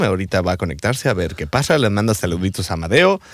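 The speaker moves at a very fast pace with very wide pitch swings. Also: man. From rural Mexico. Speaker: radio host. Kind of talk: casual chat.

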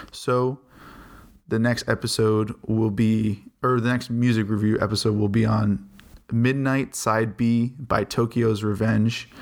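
On a very clean recording with a silent background, a man speaks at a medium pitch and a fairly slow pace, his intonation flat and monotone and his loudness very even. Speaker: podcast host, music reviewer. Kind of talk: solo podcast album review. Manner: casual, thinking out loud.

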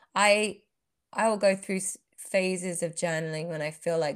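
Fairly low pitch from a woman speaker. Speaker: podcast co-host. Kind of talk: casual chat.

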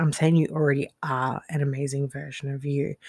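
A woman speaks with fairly even intonation in a dry, close sound with no echo, on a very clean recording with a silent background. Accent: Australian. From Australia. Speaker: life coach and podcast host. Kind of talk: solo monologue podcast. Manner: casual with frequent fillers and laughs.

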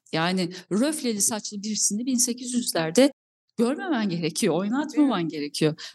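Her somewhat breathy voice sits at a fairly high pitch for a woman, with very wide pitch swings and a fairly slow pace. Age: 40s. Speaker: film and TV producer. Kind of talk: interview.

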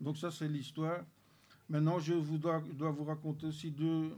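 A man speaks fairly slowly in a fairly high, dark, mellow voice with monotone, flat intonation. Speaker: church member giving testimony. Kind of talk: testimony.

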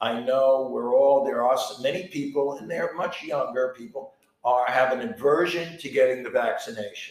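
In a normal speaking voice, a man keeps a moderate pace, his pitch fairly high and its variation ordinary. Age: 60s. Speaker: podcast co-host and artist. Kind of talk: casual chat.

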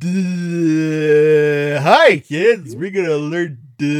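A put-on character voice is delivered at a very slow pace. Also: man, fairly high pitch for a man. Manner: dragged-out, dopey.

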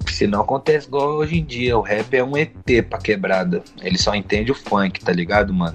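Music plays in the background as a man speaks. His intonation is lively and his pace moderate. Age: 20s. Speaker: rapper. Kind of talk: casual interview chat. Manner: slangy, filler-heavy ('tá ligado, mano').

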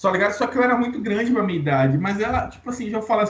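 Noticeable background noise sits behind this man's voice. He talks very fast at a high pitch, with very wide pitch swings. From Bahia, Brazil (Santo Antônio de Jesus). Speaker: podcast co-host. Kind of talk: casual chat.

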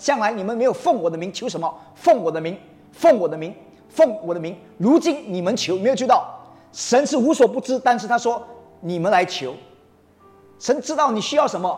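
With an animated tone and an extremely high pitch, a man moves at a moderate pace through very wide pitch swings and long, frequent pauses, over noticeable background noise. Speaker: preacher. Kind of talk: sermon to a congregation. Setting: church. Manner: animated, rousing call-and-response; emphatic, mixes Mandarin with English phrases.

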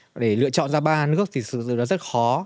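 The speaker is a man with a fairly high pitch. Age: 40s. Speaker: travel company product director. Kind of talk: casual interview.

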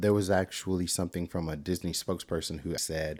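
A man with an American accent speaks at a moderate pace in a very deep, low voice. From Texas. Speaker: podcast host. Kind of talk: casual chat.

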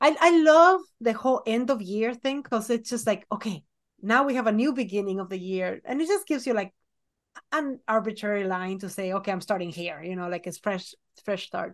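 An ordinary speaking voice with lively intonation moves at a fairly quick pace. The background is quiet. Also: woman, fairly high pitch for a woman. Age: 40s. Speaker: children's book illustrator and podcast co-host. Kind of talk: casual chat.

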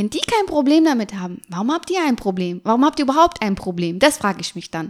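The woman's pitch swings very widely as she speaks. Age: 30s. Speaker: make-up artist and cosmetics entrepreneur. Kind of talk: interview.

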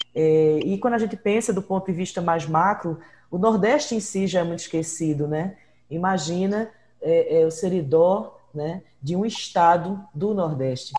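A woman speaks in a fairly low pitch with a dark, mellow, somewhat breathy tone and ordinary pitch variation. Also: fairly slow pace. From Brazil, Northeast (born in Ceará, raised in Pernambuco). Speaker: podcast host and researcher. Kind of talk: interview.

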